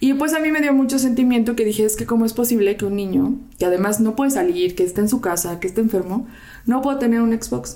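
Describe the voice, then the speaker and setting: A woman talks at a very fast pace with very even loudness and ordinary pitch variation. Her voice is fairly high in pitch, dark and mellow in tone. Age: 30s. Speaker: volunteer charity organizer, works in marketing. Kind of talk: casual chat.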